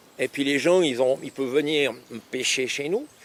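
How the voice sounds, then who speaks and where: Over noticeable background noise, a man with a fairly high pitch speaks at a fairly quick pace with fairly even intonation in a dry, close sound with no echo. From Switzerland, Lausanne. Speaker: fishing lake owner. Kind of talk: casual interview.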